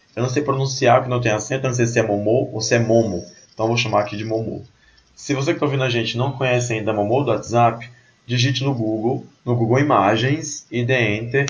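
With audible room echo, a man talks at a fairly quick pace and medium pitch in a somewhat breathy voice with fairly even intonation. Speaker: podcast host. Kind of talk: casual chat. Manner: soft-spoken.

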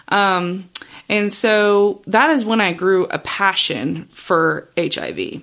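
A woman speaks at a very slow pace. Her loudness stays very even. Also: medium pitch for a woman, ordinary pitch variation. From Australia, then Chicago suburbs from age 15. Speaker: nurse practitioner and podcast host. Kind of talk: solo podcast monologue. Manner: casual with frequent fillers.

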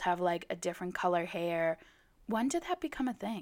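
Lively intonation marks the animated tone of a woman as she talks. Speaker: solo podcast host. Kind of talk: casual monologue.

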